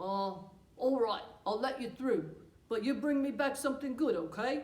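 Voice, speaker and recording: A woman does a cartoonish character voice at a high pitch. She keeps a moderate pace. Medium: puppet. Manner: gruff.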